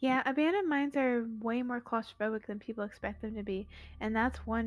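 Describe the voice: This is plain reading aloud, with pitch varying in an ordinary way.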